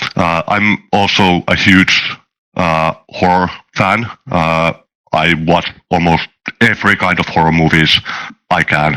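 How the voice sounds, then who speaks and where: A man's very deep, low voice at a fairly slow pace, with very even loudness, fairly even intonation and long, frequent pauses. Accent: Finnish. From Finland. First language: not English (English is third language). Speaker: software developer and tabletop game master. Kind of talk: casual interview chat. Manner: halting, many filler sounds.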